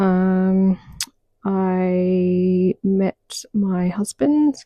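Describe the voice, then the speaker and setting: A soft-spoken woman whispers in a dry, close sound with no echo. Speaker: podcast host, social worker. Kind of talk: mindset podcast monologue. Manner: almost whispering, soft-spoken.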